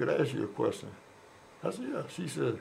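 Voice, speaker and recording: A man with an American accent talks at a fairly quick pace, and audible room echo surrounds his voice. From Oakland, California. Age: 70s. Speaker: former prisoner. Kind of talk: interview. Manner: halting, repeats words.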